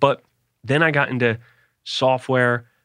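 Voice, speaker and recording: A man with an American accent speaks in an ordinary speaking voice at a moderate pace, his intonation fairly even against a quiet background. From US Northeast, Philadelphia. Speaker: sales executive. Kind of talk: interview conversation.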